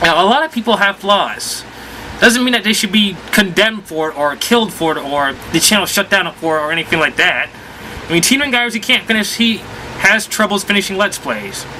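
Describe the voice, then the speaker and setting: With noticeable background noise present, this high-pitched man shows ordinary pitch variation. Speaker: video game vlogger. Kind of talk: casual vlog. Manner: rambling, halting.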